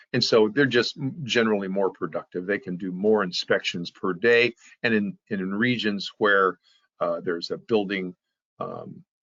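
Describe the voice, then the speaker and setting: At a moderate pace, a man uses a normal speaking voice, fairly low in pitch with ordinary pitch variation. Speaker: software company presenter. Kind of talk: webinar presentation.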